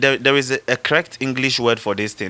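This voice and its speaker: A man speaks loudly with a bright, sharp tone in a dry, close sound with no echo. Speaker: rapper. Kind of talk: casual debate. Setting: studio. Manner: animated.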